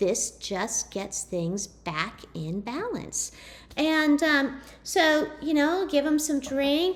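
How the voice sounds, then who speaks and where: Pitched high, a woman's voice swings very widely up and down. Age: 30s. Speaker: network marketing distributor. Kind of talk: presentation.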